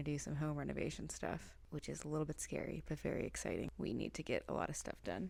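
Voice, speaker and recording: The voice is soft-spoken. It moves at a very fast pace. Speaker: crochet vlogger. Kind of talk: casual vlog narration. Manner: soft-spoken, speaking quietly.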